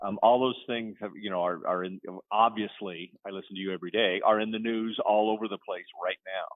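Here is a man with an unremarkable speaking voice. His pitch sits fairly low and his intonation stays fairly even. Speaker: novelist. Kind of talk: casual interview.

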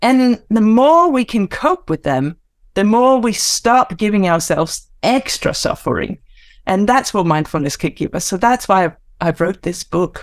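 This woman has a Danish accent and a medium pitch. She speaks fairly slowly, with very wide pitch swings. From Denmark. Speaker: mindfulness teacher and author. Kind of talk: casual interview chat.

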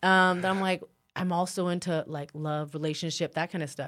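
On a very clean recording with a silent background, a woman with a West Coast accent speaks in a monotone, flat intonation. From northern California. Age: 30s. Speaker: mixed martial arts fighter. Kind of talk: casual chat.

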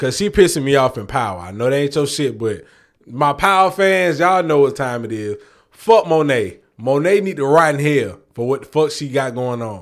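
Here a man speaks with a fairly high pitch and lively intonation. His pace is moderate. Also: very clean recording, silent background. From New York. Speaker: podcast co-host. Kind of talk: casual chat.

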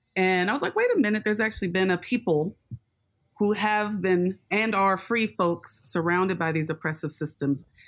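Using a normal speaking voice, a woman with an American accent keeps a moderate pace, medium pitch, ordinary pitch variation and very even loudness. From Los Angeles area, US. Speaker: scholar and educator. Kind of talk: interview.

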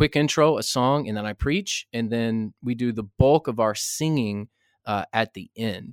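Moderate pace and ordinary pitch variation from a man, dry and close with no echo. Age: 60s. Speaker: pastor and author. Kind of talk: interview. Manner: halting, many repetitions.

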